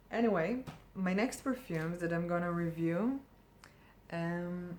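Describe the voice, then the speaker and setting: Speaking at a fairly slow pace, a woman with a non-native accent uses a medium pitch. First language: not English. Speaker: perfume reviewer. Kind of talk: casual product review. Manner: hesitant, many fillers.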